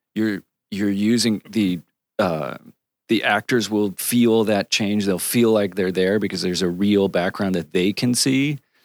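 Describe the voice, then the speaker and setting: A man with an American accent speaks in a normal speaking voice at a fairly low pitch and a fairly slow pace, with fairly even intonation, in a dry, close sound with no echo. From Connecticut, US Northeast. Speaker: cinematographer. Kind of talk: casual interview.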